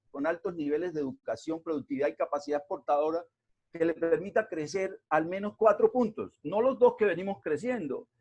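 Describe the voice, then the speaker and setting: Lively in intonation and fairly quick in pace, a man with a high pitch speaks in a dry, close sound with no echo. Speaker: invited lecturer on regional development. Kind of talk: lecture. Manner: hesitant, many fillers.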